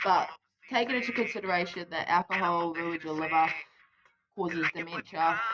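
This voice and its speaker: A woman's fairly low voice with a New Zealand accent, bright, sharp tone, ordinary pitch variation, moderate pace and long, frequent pauses. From New Zealand, Wellington. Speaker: vlogger. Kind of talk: casual chat. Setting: outdoors.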